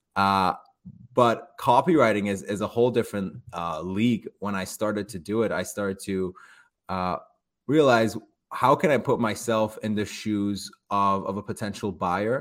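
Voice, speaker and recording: Speaking at a moderate pace, a man has an ordinary speaking voice, fairly low in pitch with ordinary pitch variation. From Canada, emigrated from Iran at thirteen. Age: 20s. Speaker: copywriter and digital entrepreneur. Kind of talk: podcast interview. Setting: remote call.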